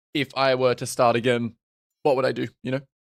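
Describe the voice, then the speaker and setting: A man talks at a fairly quick pace and medium pitch, with a slight Australian accent. The recording sounds dry and close, with no echo. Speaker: video game coach streamer. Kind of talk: live stream commentary. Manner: halting.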